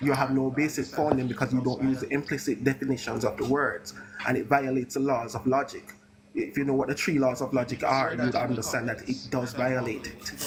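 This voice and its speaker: Noticeable background noise sits behind the recording. A man speaks in a monotone, flat intonation. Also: medium pitch for a man, fairly quick pace. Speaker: debate streamer. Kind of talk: heated debate. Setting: live stream. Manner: fast.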